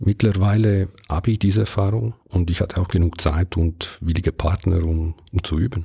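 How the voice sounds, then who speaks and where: A man speaks with an Italian-Swiss accent in a very deep, low voice that is somewhat breathy and dark and mellow, at a moderate pace with very even loudness and fairly even intonation, the sound dry and close with no echo. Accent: Italian-Swiss, non-native German. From Ticino, Switzerland. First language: Italian (speaking German). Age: 50s. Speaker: podcast host. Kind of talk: solo podcast monologue.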